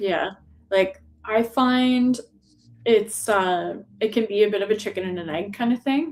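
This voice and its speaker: A woman with a Canadian accent talks at a fairly slow pace, her fairly high pitch showing ordinary variation. Long pauses come often. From small-town Canada. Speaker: artist. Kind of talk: casual chat. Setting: live stream.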